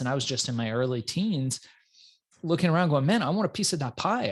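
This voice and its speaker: Speaking with an American accent at a fairly quick pace, a man with a fairly high, somewhat breathy voice makes very wide pitch swings over a quiet background. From Iran, grew up in US from childhood. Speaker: entrepreneur. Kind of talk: interview.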